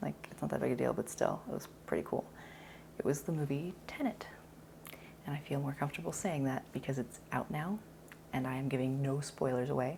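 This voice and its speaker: A quiet woman speaks at a moderate pace in a very deep, low pitch with ordinary variation. Her tone is dark and mellow, with vocal fry. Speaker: actor. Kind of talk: casual talk to camera. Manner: quiet, polite volume.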